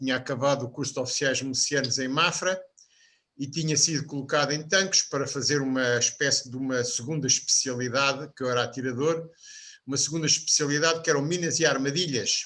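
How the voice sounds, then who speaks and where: Speaking at a fairly quick pace, a man with a fairly high pitch and fairly even intonation has a bright, sharp tone on a very clean recording with a silent background. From Portugal, Lisbon (Benfica). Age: 70s. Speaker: podcast panelist. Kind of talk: biographical interview.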